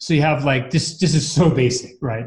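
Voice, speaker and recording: A somewhat breathy man's voice, fairly high in pitch, at a fairly quick pace with fairly even intonation. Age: 50s. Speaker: mountain bike skills coach. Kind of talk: casual interview.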